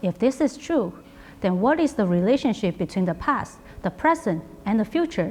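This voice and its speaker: With a Chinese accent, a woman speaks at a fairly high pitch and moderate pace, somewhat breathy, her pitch swinging very widely while her loudness stays very even. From China. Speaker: artist. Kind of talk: artist talk, scripted presentation. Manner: formal.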